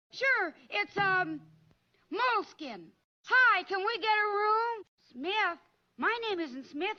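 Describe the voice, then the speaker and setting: In a cartoonish character voice with extremely high pitch, the speaker goes very slowly, with long, frequent pauses. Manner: chipper, earnest, exclamatory.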